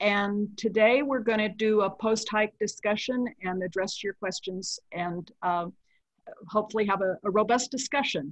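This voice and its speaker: A woman speaks at a moderate pace with ordinary pitch variation. The sound is dry with no echo, and the background is quiet. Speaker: session host. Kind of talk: meeting introduction. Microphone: video call.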